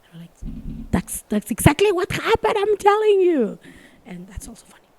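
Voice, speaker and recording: Over noticeable background noise, a woman speaks at an extremely high pitch with very wide pitch swings. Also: dry, close sound with no echo. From Mexico City area. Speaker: stand-up comedian. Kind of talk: casual podcast interview. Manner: fast and passionate when convinced.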